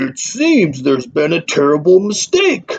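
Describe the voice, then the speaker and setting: A man's put-on character voice, high-pitched and growling, at a moderate pace. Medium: read story.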